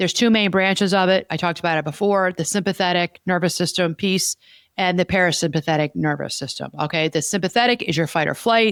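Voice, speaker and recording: A woman's fairly low voice at a very fast pace, with ordinary pitch variation, a dry, close sound with no echo, and a very clean recording with a silent background. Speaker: podcast host and therapist. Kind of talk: casual chat. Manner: fast when stressed.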